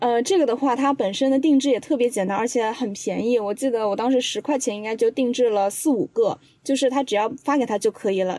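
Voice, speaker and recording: Very fast speech from a woman with a high pitch, a dark, mellow tone and ordinary pitch variation. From Changzhou, Jiangsu. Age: 20s. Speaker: podcast assistant, video creator. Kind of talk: casual chat.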